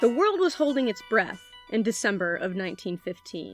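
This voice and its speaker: Someone speaks at a moderate pace with an American accent, with music in the background. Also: woman. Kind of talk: podcast host narration.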